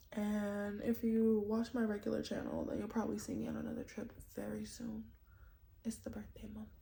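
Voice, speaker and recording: Noticeable background noise behind a woman's fairly quick pace. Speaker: content creator. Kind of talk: casual vlog rant.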